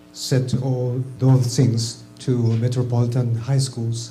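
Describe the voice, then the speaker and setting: Music plays in the background as a man with a Japanese accent speaks at a medium pitch. His pace is very slow, with audible room echo. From Japan, Tokyo. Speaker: teacher trainer, audience questioner. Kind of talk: audience question. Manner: halting.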